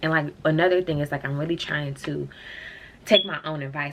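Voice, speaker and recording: Talking at a very fast pace, a woman with an American accent has a very deep, low pitch. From Ohio. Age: 20s. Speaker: vlogger. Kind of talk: casual rant to camera. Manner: animated.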